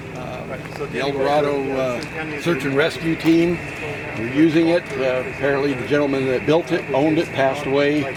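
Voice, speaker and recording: Amid noticeable background noise and audible room echo, a man with a fairly high pitch speaks at a moderate pace in a monotone, flat intonation. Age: 70s. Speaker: ham radio operator exhibitor. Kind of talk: casual equipment show-and-tell.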